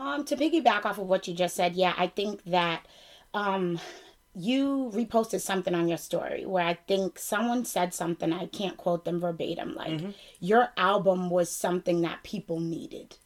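Speaking in a Boston accent, a woman uses medium pitch and lively intonation at a moderate pace. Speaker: podcast host. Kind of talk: casual interview chat.

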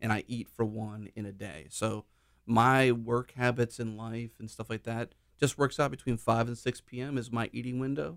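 An unremarkable speaking voice belongs to a man with an American accent and a medium pitch. He keeps a moderate pace with fairly even intonation. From Pittsburgh area, Pennsylvania. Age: 30s. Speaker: military veteran, web developer. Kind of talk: interview.

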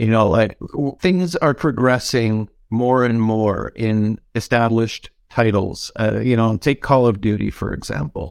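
A man with a plain, everyday voice, medium pitch and a Canadian accent, at a fairly slow pace, on a very clean recording with a silent background. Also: ordinary pitch variation. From Canada. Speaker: game cinematics director. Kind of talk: panel discussion.

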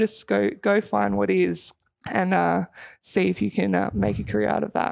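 With an Australian accent, a woman speaks at a moderate pace on a very clean recording with a silent background. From Melbourne, Australia. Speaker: retired basketball player and police officer. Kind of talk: radio interview.

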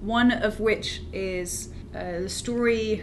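A woman talks with a British accent at a medium pitch. Noticeable background noise sits behind her. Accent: British, sometimes mistaken for Australian. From UK. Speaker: graduate student in planetary science. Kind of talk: casual interview chat.

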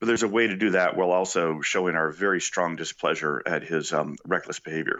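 A man speaks at a very fast pace. His very deep, low voice has ordinary pitch variation. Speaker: national security professor. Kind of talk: radio interview.

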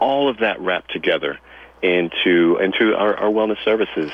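Noticeable background noise sits behind the voice. A man talks at a moderate pace. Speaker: health and wellness consultant. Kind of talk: radio interview.

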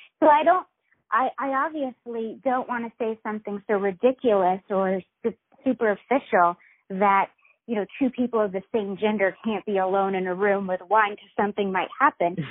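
With an American accent, a woman of fairly high pitch speaks at a moderate pace with ordinary pitch variation. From US South, Virginia. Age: 30s. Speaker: website founder. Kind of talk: interview. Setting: phone call. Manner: halting.

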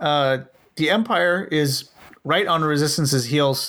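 A man's fairly high voice with a bright, sharp tone at a fairly slow pace. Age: 20s. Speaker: tabletop game podcast host. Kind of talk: casual chat.

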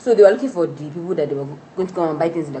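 A woman talks at a very fast pace with lively intonation over noticeable background noise. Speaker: podcast host. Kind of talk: casual chat.

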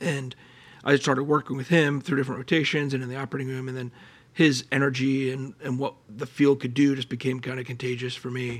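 Very fast, flat, monotone speech from a man with an American accent and a medium pitch. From Pennsylvania, Allentown. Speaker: colorectal surgeon and researcher. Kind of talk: interview.

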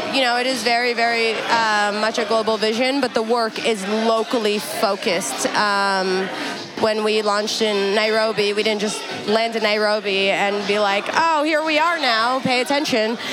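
Music plays in the background while a woman talks at a moderate pace, her pitch fairly high. Her loudness stays very even, and room echo is audible. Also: ordinary pitch variation. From Canada (Toronto, Edmonton), Afghan family. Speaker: DJ and activist. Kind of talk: casual chat. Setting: venue with music in background.

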